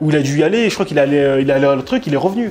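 A man talks at a very fast pace with lively intonation over light background noise. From France. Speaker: blogger; interview guest. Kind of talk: casual chat. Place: home room.

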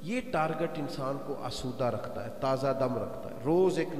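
Light background noise and audible room echo accompany speech at a fairly slow pace. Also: man. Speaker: religious preacher. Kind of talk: sermon. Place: hall. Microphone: handheld.

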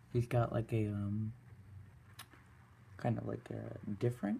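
Somewhat breathy voice with a dark, mellow tone, a fairly slow pace and light background noise. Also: man. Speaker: toy reviewer. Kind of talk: product review; casual review chat. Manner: hesitant, many fillers. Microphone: phone near.

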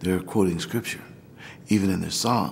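With an American accent, a man speaks in a dark, mellow tone and fairly even intonation. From Missouri, US. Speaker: Orthodox priest. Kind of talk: documentary interview, personal story. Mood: warm, reflective, animated. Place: church.

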